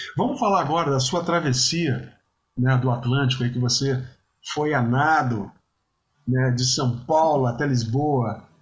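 Long, frequent pauses break up a man's fairly slow speech, his loudness very even and his voice somewhat breathy. He has a medium pitch with ordinary pitch variation. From Brazil, Espírito Santo (Vitória). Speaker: podcast host, musician. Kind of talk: casual interview chat. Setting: remote call Brazil-Portugal.

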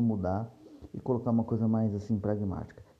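A man speaks at a fairly quick pace in a fairly low, somewhat breathy voice. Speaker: podcast host, series reviewer. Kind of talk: casual solo review monologue.

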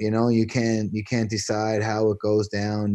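The voice has a dark, mellow tone and moves at a fairly quick pace over a quiet background. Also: man. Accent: Newfoundland. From Newfoundland, Canada. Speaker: former pro basketball player. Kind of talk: interview. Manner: animated.

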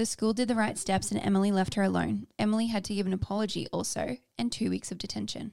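A woman with an Australian accent talks at a very fast pace. The recording is very clean, with a silent background. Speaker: podcast co-host. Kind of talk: casual chat.

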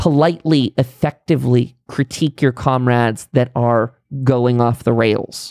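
An unremarkable speaking voice from a man with an American accent, medium in pitch, at a moderate pace, with fairly even intonation, very even loudness and a dry, close sound with no echo. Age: 30s. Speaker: political podcaster. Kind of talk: monologue commentary.

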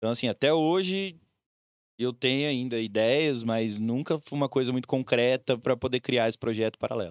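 A man talks with a normal speaking voice at a medium pitch. His pace is moderate and his pitch varies in an ordinary way. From Brazil, Mato Grosso do Sul (Campo Grande). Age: 30s. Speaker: DJ. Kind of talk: casual chat.

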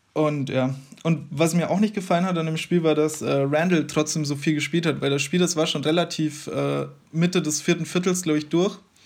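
Speaking at a fairly quick pace, a man with a plain, everyday voice and fairly high pitch keeps a fairly even intonation. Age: 20s. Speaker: basketball fan podcast guest. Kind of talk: casual chat.

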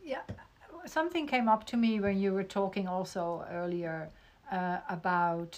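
A woman with a Dutch accent speaks fairly slowly, her intonation lively. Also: medium pitch for a woman. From Netherlands. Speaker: podcast host. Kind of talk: interview. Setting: video call.

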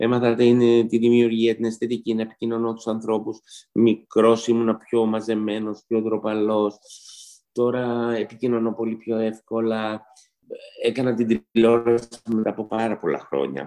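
A man speaks at a fairly slow pace in a medium pitch, his dark, mellow tone held to a flat monotone. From Istanbul, Turkey; Greece from age 10. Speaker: pastry chef. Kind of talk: interview.

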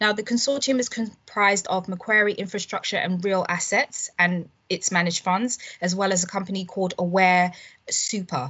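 At a moderate pace, a woman talks in an unremarkable speaking voice of medium pitch with ordinary pitch variation. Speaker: telecoms reporter. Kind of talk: news roundup.

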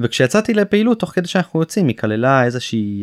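Pitch swings very widely in this man's voice. The sound is dry and close, with no echo. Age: 20s. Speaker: former combat soldier, rehab patient. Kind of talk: interview testimony.

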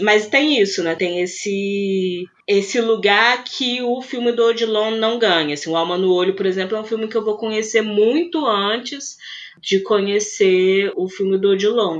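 Speaking at a fairly slow pace, a woman has a fairly high pitch with ordinary variation. Hers is an unremarkable speaking voice. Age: 30s. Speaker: film critic and researcher. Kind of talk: casual interview.

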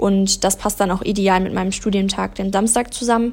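At a moderate pace, a woman with a plain, everyday voice talks at a medium pitch with fairly even intonation. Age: 20s. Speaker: PR and marketing trainee. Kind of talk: interview.

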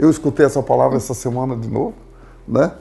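The tone is dark and mellow, with vocal fry and a very fast pace. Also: man. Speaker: retired company founder. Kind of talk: casual chat.

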